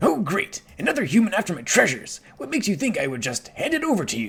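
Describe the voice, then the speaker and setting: In a put-on character voice, a man speaks at a high pitch. He goes at a very fast pace with very wide pitch swings. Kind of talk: gruff, pirate-like. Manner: irritable, scornful.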